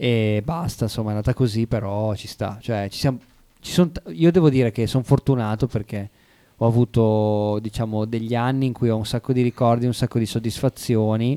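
Recorded very cleanly against a silent background with a dry, close sound and no echo, a man with a plain, everyday voice talks at medium pitch and a fairly quick pace with fairly even intonation. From Savona, Liguria, Italy. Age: 30s. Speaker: rapper. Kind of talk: radio interview. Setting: radio studio. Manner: talkative, reflective.

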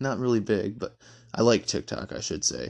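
A man with a Midwestern American accent and ordinary pitch variation. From Michigan. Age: 20s. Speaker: podcast host. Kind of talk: casual monologue. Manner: hesitant, many fillers.

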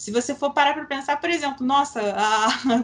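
A woman speaks with ordinary pitch variation. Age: 20s. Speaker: sports journalist. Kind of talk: interview.

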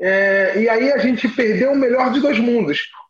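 Talking at a fairly slow pace, the man has a high-pitched voice. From Brazil, Rio de Janeiro. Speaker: teacher and choir conductor. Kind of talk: casual interview chat.

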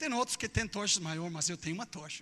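A man's raised, projected voice with an English accent, a fairly quick pace and ordinary pitch variation. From Texas, US. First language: English (speaking Portuguese). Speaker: preacher. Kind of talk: sermon. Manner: animated; halting.

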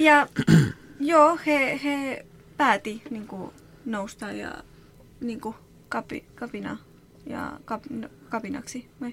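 Very slowly and with long, frequent pauses, a woman with a Spanish accent speaks in a high voice, with ordinary pitch variation and big swings in loudness. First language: Spanish (speaking Finnish). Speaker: association employee. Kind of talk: interview. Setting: studio. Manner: halting.

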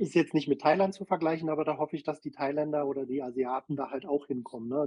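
A fairly high-pitched man at a very fast pace with fairly even intonation. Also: hardly any pauses. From Berlin. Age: 50s. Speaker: social media creator. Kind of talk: casual chat.

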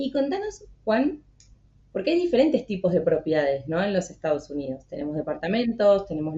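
With an Argentine accent, a woman at medium pitch talks at a fairly quick pace, her pitch swinging very widely. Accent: Argentine Spanish (Rioplatense). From Argentina. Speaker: podcast host for a visa consultancy. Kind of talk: interview, live stream.

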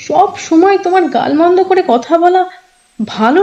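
A female-sounding, put-on character voice speaks at a moderate pace and sounds shaky. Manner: trembling, holding back tears.

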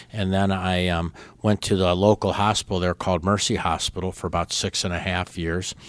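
Over a very clean, silent background, a man with an American accent talks at a fairly quick pace in a very deep, low voice. His intonation is monotone and flat, and the sound is dry and close with no echo. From Chicago suburbs, Illinois. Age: 60s. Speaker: baseball team co-owner. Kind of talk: interview.

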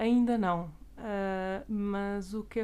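The tone is dark and mellow. The intonation is monotone and flat. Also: woman. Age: 20s. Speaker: physician and master's student. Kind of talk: interview.

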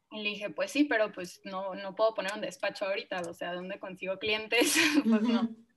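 A woman with a normal speaking voice talks at a fairly quick pace. Her pitch is fairly high. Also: ordinary pitch variation, big swings in loudness. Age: 20s. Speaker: architect and small business founder. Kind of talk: casual interview chat.

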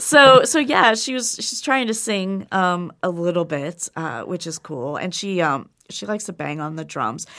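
A woman's bright, sharp voice at a medium pitch, fairly slow, with very wide pitch swings and hardly any pauses. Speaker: podcast host and managing editor. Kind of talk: casual chat. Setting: studio. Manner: chipper.

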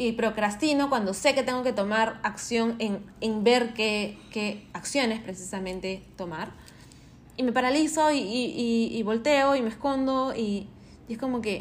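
The woman's voice is fairly high and her pace fairly slow. Audible room echo surrounds her. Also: ordinary pitch variation. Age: 30s. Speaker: podcast host. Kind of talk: casual monologue. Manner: animated.

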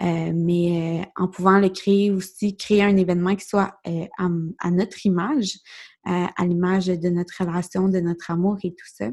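A woman with a Quebec accent speaks at a medium pitch and a fairly slow pace. Her intonation is fairly even, on a very clean recording with a silent background. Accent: Québécois French. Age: 20s. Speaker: podcast host. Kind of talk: solo podcast monologue. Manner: hesitant, many fillers.

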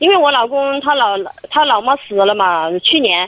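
Noticeable noise runs behind a woman whose voice sits fairly high. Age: 40s. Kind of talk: phone call-in. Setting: phone call from a car. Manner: halting, hesitant.

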